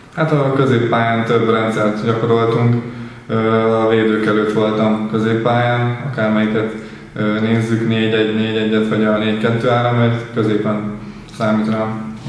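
A man speaks at a very slow pace in a monotone, flat intonation with very even loudness. Strong room echo surrounds his voice. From Hungary. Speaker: professional footballer, midfielder. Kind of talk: post-match interview; interview answer. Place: empty room.

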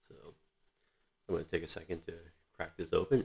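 The man's voice is quiet. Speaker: vlogger. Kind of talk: casual product review vlog. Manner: quiet, low voice; hesitant, many fillers. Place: home room. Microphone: webcam.

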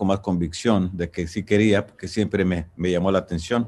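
With fairly even intonation, a man delivers his words at a fairly slow pace. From Michoacán, Mexico. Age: 60s. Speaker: singer-songwriter. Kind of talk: interview answer. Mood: warm, reflective, nostalgic. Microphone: video call.

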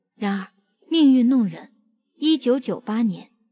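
A woman speaks at a fairly slow pace with lively intonation. Her voice is fairly high, with a dark, mellow tone. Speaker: entertainment video narrator. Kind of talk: scripted narration.

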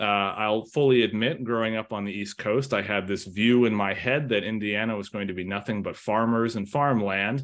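Against a quiet background, a man speaks at a moderate pace. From Massachusetts, near Boston. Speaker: software developer. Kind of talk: panel presentation. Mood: relaxed, candid. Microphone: webcam.

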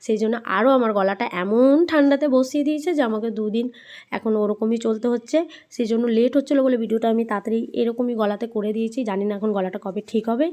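On a very clean recording with a silent background, a dark, mellow tone moves with ordinary pitch variation. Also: woman, fairly high pitch for a woman. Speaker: vlogger. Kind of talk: vlog voice-over. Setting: rooftop picnic at home.

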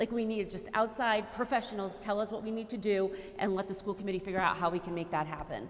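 A woman in an American accent, very fast, with fairly even intonation. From Fall River, Massachusetts; Massachusetts. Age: 40s. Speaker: school committee candidate, teaching artist; candidate. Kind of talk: closing statement; candidate forum answers. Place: hall.

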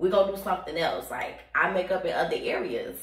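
A woman is speaking. Room echo is audible around her voice. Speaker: vlogger. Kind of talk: casual vlog chat. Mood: candid, playful. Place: bathroom. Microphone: phone near.

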